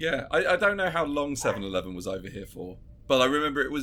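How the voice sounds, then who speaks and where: With a bright, sharp tone and vocal fry, the man speaks at a fairly high pitch that swings very widely. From southern England, Brentwood, Essex. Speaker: podcast co-host, comedian. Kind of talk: casual chat.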